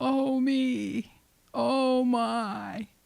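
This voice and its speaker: A woman puts on a character voice. Her pitch sits high. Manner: sad, wailing.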